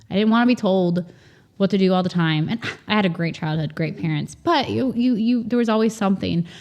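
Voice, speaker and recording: A woman talks in a plain, everyday voice at medium pitch with ordinary pitch variation. The background is quiet. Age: 40s. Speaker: farmer and communications professional. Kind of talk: casual interview chat.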